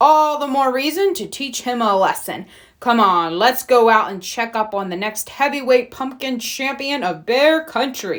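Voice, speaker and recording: A put-on character voice at a moderate pace, with hardly any pauses. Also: woman, high pitch for a woman. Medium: read story.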